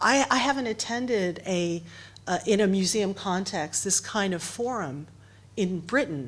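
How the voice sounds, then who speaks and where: This voice has a strong American accent and lively intonation. The pace is fairly slow. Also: woman. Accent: heavy American. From United States. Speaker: writer and editor. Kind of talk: panel discussion. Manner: halting, many repeated words.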